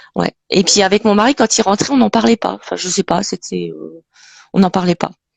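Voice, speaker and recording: A woman talks at a moderate pace, and the sound is dry and close with no echo. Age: 50s. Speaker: Parkinson's patient. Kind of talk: testimony.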